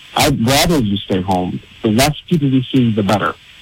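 The talking moves along at a fairly quick pace while noticeable background noise runs underneath. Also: man. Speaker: caller. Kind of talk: heated debate.

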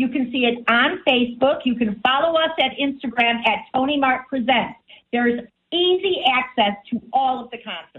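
A woman's high-pitched voice in an American accent, enthusiastic in tone, at a moderate pace with ordinary pitch variation. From US Midwest, Chicago. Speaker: radio co-host. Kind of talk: casual radio talk show chat.

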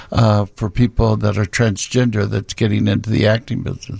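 A man speaks with a fairly low pitch. Vocal fry runs through his voice. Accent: Midwestern American. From Peoria, Illinois. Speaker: drag club owner. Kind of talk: radio interview. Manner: halting.

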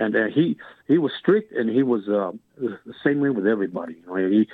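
A man with a West Texas accent talks at a fairly quick pace, with ordinary pitch variation. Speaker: caller, former high school football player. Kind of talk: radio call-in. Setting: phone call. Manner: halting, repetitive.

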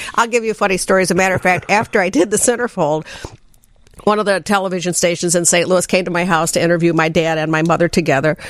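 A woman speaks at a very fast pace in a fairly low pitch. Her pitch varies in an ordinary way and her loudness stays very even. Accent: Midwestern US. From southern Illinois.

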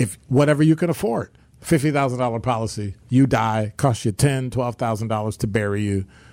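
A man speaks at a fairly quick pace in an ordinary speaking voice, his medium pitch showing ordinary variation, on a very clean recording with a silent background. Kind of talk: radio host patter. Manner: warm, upbeat, bantering.

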